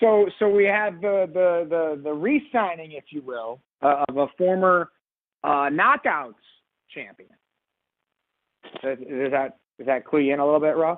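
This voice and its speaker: Long, frequent pauses and a fairly slow pace, in an American accent. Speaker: wrestling podcast host. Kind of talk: casual podcast chat. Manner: halting, repeats words.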